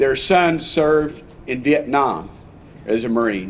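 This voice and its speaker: This man has a fairly high pitch and an American accent. Noticeable background noise runs under his voice. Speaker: congressman. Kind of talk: public speech at ceremony.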